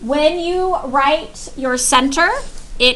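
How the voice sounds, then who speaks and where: A woman's raised, projected voice at a very slow pace, with audible room echo. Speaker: high school math teacher. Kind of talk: classroom lecture.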